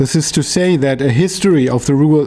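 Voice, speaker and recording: A man keeps a moderate pace and shows ordinary pitch variation. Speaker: academic researcher. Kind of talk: lecture. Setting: workshop with audience. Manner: halting, searching for words. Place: meeting room. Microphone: studio mic.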